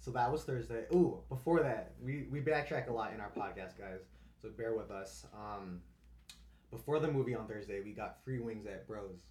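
A man's fairly low voice at a moderate pace, with lively intonation and audible room echo. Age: 20s. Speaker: podcast host, college student. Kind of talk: casual chat.

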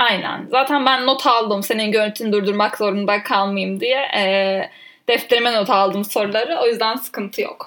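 At a moderate pace, a woman speaks in a plain, everyday voice. Her pitch is fairly high and her intonation fairly even. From Turkey, Ankara. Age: 20s. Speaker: podcast co-host, trainee lawyer. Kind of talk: casual chat.

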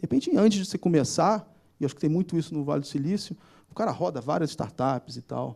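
A man's dark, mellow tone at a fairly quick pace. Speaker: startup founder and CEO. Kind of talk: live panel interview. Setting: theater stage with audience.

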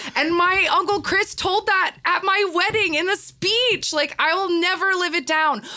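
Speaking with an American accent, a woman uses a raised, projected voice at an extremely high pitch with ordinary variation, going at a fairly slow pace with hardly any pauses and very even loudness. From Texas. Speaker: podcaster. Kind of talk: casual chat. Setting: studio.

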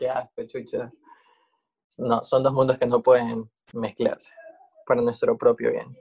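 A man talks at a fairly slow pace with long, frequent pauses. The sound is dry and close with no echo. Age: 20s. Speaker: drag queen and journalist. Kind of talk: casual chat.

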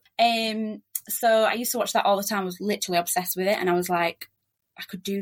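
A woman speaks with a strong Yorkshire accent at medium pitch. Her pace is fairly quick. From Yorkshire, England. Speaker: relocation agent, migrant. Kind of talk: casual interview chat. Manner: fast talker.

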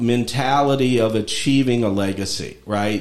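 A man at a fairly slow pace with fairly even intonation, over noticeable background noise. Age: 50s. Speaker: podcast host and lawyer. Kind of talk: casual interview chat.

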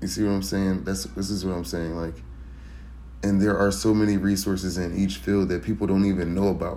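A man's very deep, low voice, dark and mellow in tone, at a fairly quick pace with ordinary pitch variation and audible room echo. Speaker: first-time podcaster. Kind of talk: solo monologue.

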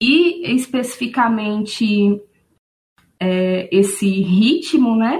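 Somewhat breathy and fairly high-pitched, a woman talks at a very slow pace with lively intonation and long, frequent pauses. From Aracaju, Sergipe, Brazil. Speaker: music fan guest. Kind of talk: casual conversation podcast. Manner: frequent fillers like né.

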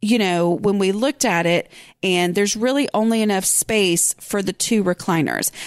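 A woman with an unremarkable speaking voice talks at very even loudness. The recording is very clean and dry, close, with a silent background and no echo. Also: medium pitch for a woman, ordinary pitch variation, moderate pace. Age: 40s. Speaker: podcast host and blogger. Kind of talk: casual solo podcast talk.

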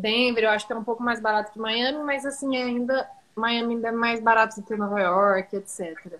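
With ordinary pitch variation, a woman speaks in a fairly high pitch. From Brazil, Araxá (Minas Gerais). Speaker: social media manager. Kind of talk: casual chat.

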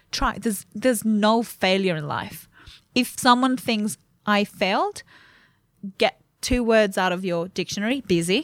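A woman with an Italian accent and a fairly high pitch talks at a fairly slow pace with long, frequent pauses and ordinary pitch variation, on a very clean recording with a silent background. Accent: Italian accent, noticeable. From Italy. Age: 20s. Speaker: clinical nutritionist. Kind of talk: casual interview chat. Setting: studio.

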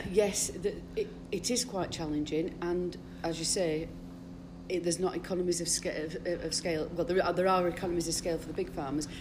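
Against noticeable background noise, a woman speaks fairly quickly in a fairly low pitch with fairly even intonation. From Todmorden, Yorkshire/Lancashire border. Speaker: dairy farmer. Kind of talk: casual interview.

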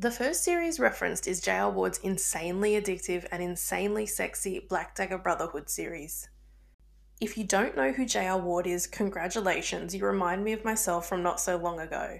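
Talking at a fairly quick pace, a woman speaks with an Australian accent. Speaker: podcast host and book reviewer. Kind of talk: scripted-sounding casual podcast intro.

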